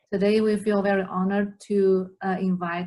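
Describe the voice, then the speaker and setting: A woman's somewhat breathy voice at medium pitch, monotone, flat intonation and a moderate pace. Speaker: therapy student and interviewer. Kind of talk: interview host questions.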